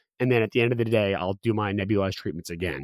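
A man speaks very fast in a dry, close recording with no echo, very clean with a silent background. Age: 20s. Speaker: patient advocate and foundation program director. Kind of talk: interview. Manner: halting, many fillers.

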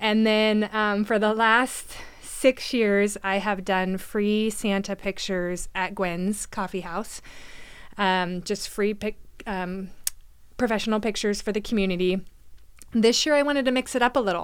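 On a very clean recording with a silent background, a woman with a plain, everyday voice and an American accent speaks at a medium pitch and fairly slow pace with fairly even intonation. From Oregon, McMinnville. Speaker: mortgage broker and community organizer. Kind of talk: casual interview chat.

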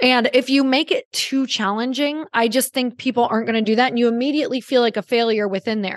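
Someone talks at a very fast pace with an American accent and hardly any pauses. The tone is animated, with ordinary pitch variation. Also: woman, high pitch for a woman. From Upper Michigan, US. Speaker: podcast host and entrepreneur. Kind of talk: interview conversation.

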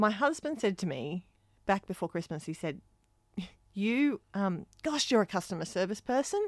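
In an Australian accent, the speaker moves at a moderate pace with very wide pitch swings. The sound is dry and close with no echo, on a very clean recording with a silent background. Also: woman, medium pitch for a woman. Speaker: performing arts school principal and podcast host. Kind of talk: casual chat.

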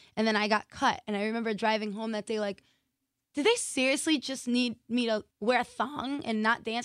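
In an American accent, a woman uses an ordinary speaking voice, fairly high and fairly even in intonation, on a very clean recording with a silent background. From Massachusetts. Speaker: professional dancer and choreographer. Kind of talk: interview.

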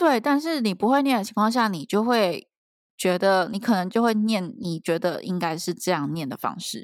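A woman talks at a moderate pace with lively intonation and a fairly high pitch, in an ordinary speaking voice. The recording is very clean, with a silent background. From Taiwan. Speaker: PhD student abroad, podcast co-host. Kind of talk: casual chat.

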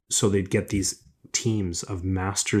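This man speaks in a very deep, low voice with a Canadian accent, somewhat breathy. His intonation is monotone and flat, and the recording is very clean with a silent background. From Canada, Ontario (Scarborough, Toronto). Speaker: entrepreneur, business school director. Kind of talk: interview.

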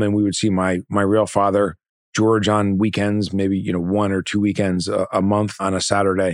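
At a moderate pace, a normal speaking voice comes through in a dry, close sound with no echo on a very clean recording with a silent background. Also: man. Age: 50s. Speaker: finance company CEO. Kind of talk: interview. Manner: casual, with fillers.

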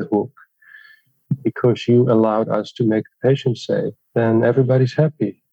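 Speaking with a Dutch accent, a man uses a medium pitch and monotone, flat intonation. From southern Netherlands. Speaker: plastic surgeon and injectables trainer. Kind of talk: interview.

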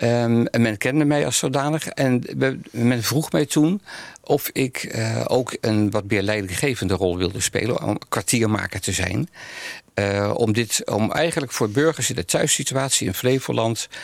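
A man talks at a fairly slow pace in a medium pitch. His pitch varies in an ordinary way. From Netherlands, Amsterdam (born The Hague). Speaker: spiritual care coordinator, narrative theologian. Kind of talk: interview conversation. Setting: studio. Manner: halting, many fillers.

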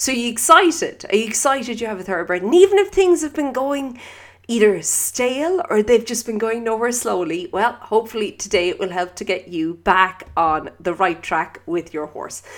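A woman's fairly high voice moves through very wide pitch swings. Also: moderate pace, hardly any pauses. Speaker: equestrian podcast host. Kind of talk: solo podcast monologue.

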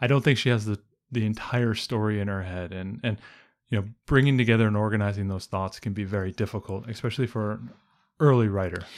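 At a very fast pace, a man speaks in a fairly low pitch with fairly even intonation in a very clean recording with a silent background. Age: 40s. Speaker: homeschooling podcast co-host, stay-at-home dad. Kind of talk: casual chat.

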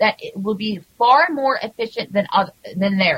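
A woman speaks in an ordinary speaking voice at a fairly high pitch. Her intonation is lively. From Canada. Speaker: cannabis advocate and segment contributor. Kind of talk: casual chat.

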